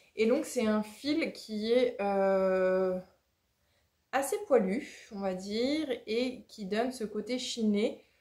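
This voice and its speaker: Her voice is fairly high, with a dark, mellow tone and ordinary pitch variation. The woman speaks at a very slow pace. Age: 30s. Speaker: knitting podcaster. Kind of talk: casual vlog-style podcast monologue. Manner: hesitant, many filler 'euh'.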